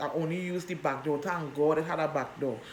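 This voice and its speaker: In audible room echo, a woman with a very deep, low pitch speaks at a moderate pace in an animated tone, with ordinary pitch variation. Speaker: vlogger. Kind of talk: personal storytelling. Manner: loud.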